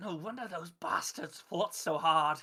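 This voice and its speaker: A raspy, hissing put-on character voice. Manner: halting, ominous.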